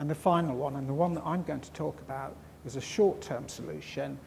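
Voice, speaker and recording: Vocal fry and ordinary pitch variation with audible room echo. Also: man. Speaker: crop storage scientist. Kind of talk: conference talk. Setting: conference hall with audience. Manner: mumbling; halting.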